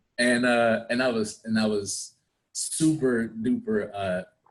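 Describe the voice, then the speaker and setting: A man's fairly slow, fairly low-pitched speech in a DC area accent, with ordinary pitch variation. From Washington DC area (Prince George's County, Maryland). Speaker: actor. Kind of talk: interview.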